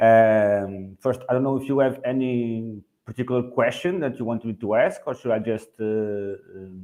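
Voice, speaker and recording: A man with a Portuguese accent speaks at a moderate pace in a medium pitch with a dark, mellow tone. His pitch variation is ordinary, and he takes hardly any pauses. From Portugal. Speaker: real estate agent. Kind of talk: webinar panel talk. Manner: halting, many fillers.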